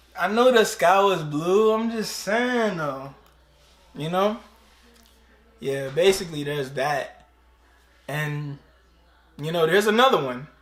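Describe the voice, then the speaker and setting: Over noticeable background noise, a man with a high voice speaks at a fairly slow pace, his intonation lively and his pauses long and frequent. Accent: American. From DMV area (DC, Maryland, Virginia). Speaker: YouTuber. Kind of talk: casual vlog explaining slang.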